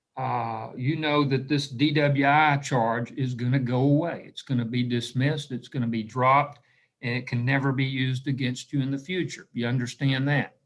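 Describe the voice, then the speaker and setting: A man with an American accent speaks at a medium pitch and moderate pace, hardly pausing, in a monotone, flat way. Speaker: judge. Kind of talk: court hearing. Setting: video call. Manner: formal, with frequent fillers.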